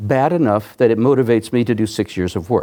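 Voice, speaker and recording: A man's dark, mellow voice at a medium pitch and moderate pace, on a very clean recording with a silent background. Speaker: professor. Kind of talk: lecture. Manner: soft-spoken.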